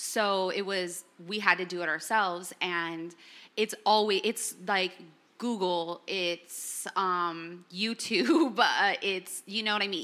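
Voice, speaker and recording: A woman with a Californian accent speaks fairly slowly at a medium pitch, her tone bright and sharp. The recording is very clean, with a silent background. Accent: Californian American English. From Los Angeles. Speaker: entrepreneur and musician. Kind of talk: panel discussion. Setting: living room with audience.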